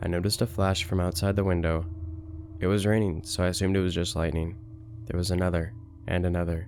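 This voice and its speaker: Music plays in the background as a man with a very deep, low pitch talks at a very fast pace. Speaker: story narrator. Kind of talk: scary story narration.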